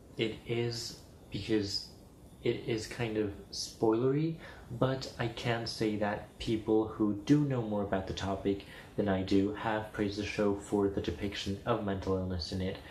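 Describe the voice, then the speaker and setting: A somewhat breathy man at a fairly low pitch, with fairly even intonation, a fairly slow pace and audible room echo. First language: Spanish. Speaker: video blogger. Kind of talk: casual chat.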